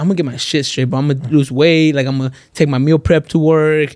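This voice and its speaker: With an American accent, a man talks at a very fast pace in a fairly high pitch. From Los Angeles, San Fernando Valley. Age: 20s. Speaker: social media influencer. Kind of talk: casual chat.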